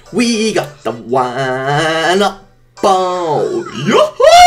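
A man speaks in a put-on character voice. His pitch sits high. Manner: goofy, excited.

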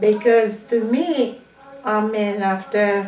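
A woman with a fairly high pitch is recorded with audible room echo and light background noise. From Haiti. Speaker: Haitian immigrant parent; interviewee. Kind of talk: interview. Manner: halting. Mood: calm, sometimes smiling.

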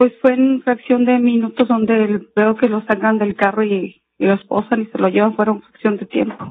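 At a moderate pace with hardly any pauses, a woman speaks at a fairly high pitch in a monotone, flat intonation. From Mexico. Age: 40s. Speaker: homemaker, eyewitness; witness. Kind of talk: court testimony. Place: hall. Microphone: podium.

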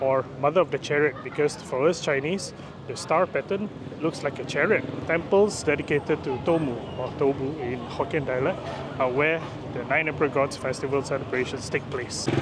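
A man at a moderate pace with ordinary pitch variation and noticeable background noise. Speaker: travel vlogger. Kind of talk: casual vlog explanation. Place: street. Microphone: phone near.

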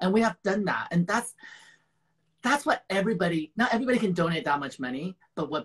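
Fast and lively in intonation, a man speaks at a high pitch with a fairly bright tone and a slightly husky edge.

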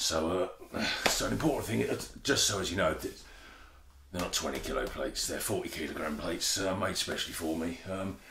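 There is noticeable background noise. Over it, a man speaks at a fairly quick pace. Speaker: comedic gym instructor. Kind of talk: tutorial. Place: garage. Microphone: camera far.

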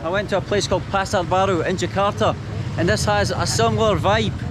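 A man is recorded with a dry sound and no echo. Noticeable background noise is present. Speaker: travel vlogger. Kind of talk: casual vlog chat. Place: market. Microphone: phone near.

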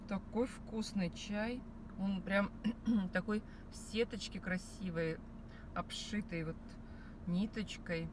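Slow and fairly even in intonation, a woman speaks at a medium pitch.

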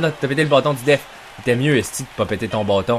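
Noticeable background noise accompanies a man talking at a fairly quick clip. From Quebec. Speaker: gaming YouTuber. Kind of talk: live sports-style game commentary while playing NHL video game. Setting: home recording, gameplay video voiceover. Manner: excitable, shouting, loud, swearing; animated, reacts loudly to every play.

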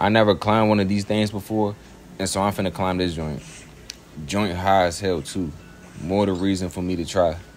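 Music plays in the background as a man speaks at a moderate pace. His pitch is fairly low and his intonation fairly even. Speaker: vlogger at event. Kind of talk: casual vlog chat. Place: street. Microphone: phone near.

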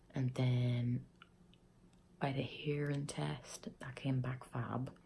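A woman with an Irish accent, very slow, with a dark, mellow tone, a very deep, low pitch, ordinary pitch variation and a somewhat breathy sound. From Ireland. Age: 20s. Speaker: vlogger. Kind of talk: casual talk to camera.

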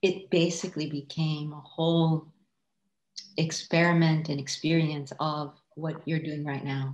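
A woman's very deep, low voice with an Iranian accent, monotone and flat at a fairly slow pace, with big swings in loudness and audible room echo. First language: Farsi. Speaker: artist. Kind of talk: casual chat. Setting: video call. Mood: reflective, calm. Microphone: video call.

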